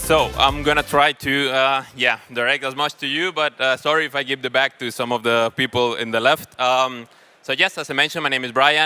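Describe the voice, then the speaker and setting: A man with a bright, sharp tone talks at medium pitch with fairly even intonation. His pace is fairly quick with hardly any pauses, and the sound is dry and close with no echo. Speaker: panel moderator. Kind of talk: panel moderation at a conference. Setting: stage with audience. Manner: loud.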